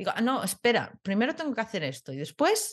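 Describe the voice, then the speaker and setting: A woman's somewhat breathy voice at a fairly quick pace over a quiet background. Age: 30s. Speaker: podcast co-host. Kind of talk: casual chat.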